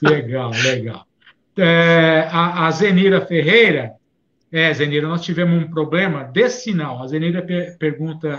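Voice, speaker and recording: His pitch is fairly high, with ordinary variation. The man speaks at a fairly slow pace. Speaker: live show co-host. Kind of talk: live stream chat.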